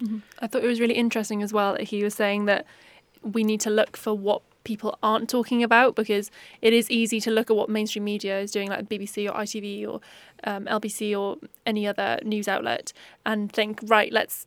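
Speaking at a fairly quick pace, a woman with a South Wales accent and fairly high pitch keeps a monotone, flat intonation. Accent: South Wales Valleys English. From South Wales Valleys. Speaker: journalism student podcast host. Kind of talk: interview.

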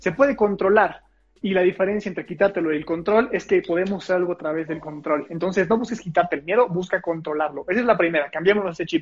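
A man speaks in a high voice at a very fast pace. His pitch varies in an ordinary way. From Mexico, Puebla. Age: 20s. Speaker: public speaking coach. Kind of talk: casual interview chat.

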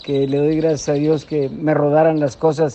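With fairly even intonation, a man talks in a fairly high pitch. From Mexico, Nuevo León. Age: 70s. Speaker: bullfighter. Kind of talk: interview.

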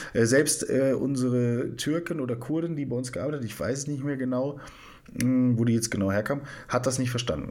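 In a room with audible echo, a man of medium pitch talks at a moderate pace with fairly even intonation. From northern Germany. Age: 30s. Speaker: psychiatric nurse. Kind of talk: casual chat, storytelling.

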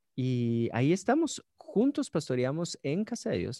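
A dark, mellow tone in a Guatemalan accent, dry and close with no echo, over a quiet background. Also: man. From Guatemala, Guatemala City. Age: 30s. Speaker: pastor. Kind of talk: casual chat.

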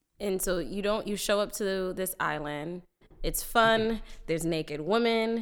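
This woman has an unremarkable speaking voice and a medium pitch. She talks at a fairly slow pace with ordinary pitch variation. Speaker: podcast co-host. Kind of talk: casual chat.

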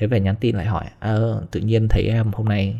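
At a very fast pace, a man speaks with a fairly low pitch and a dark, mellow tone, somewhat breathy, on a very clean recording with a silent background. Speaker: vlogger. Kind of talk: casual storytelling monologue.

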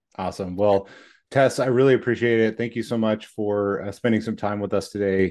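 In a quiet background, a man talks at a fairly quick pace in an ordinary speaking voice, with fairly low pitch and fairly even intonation. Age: 40s. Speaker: podcast host. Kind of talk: scripted guest introduction; casual interview chat.

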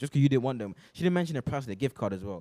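Very fast and lively in intonation, a man speaks at a medium pitch with a dark, mellow tone.

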